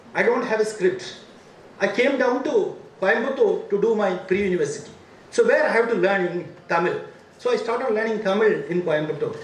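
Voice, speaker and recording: Speech at a fairly quick pace in a South Indian accent comes through audible room echo and noticeable background noise. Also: man. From India, Ooty (Nilgiris). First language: Badaga. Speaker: academic administrator, former vice chancellor. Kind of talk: speech at university inauguration. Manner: repetitive, emphatic.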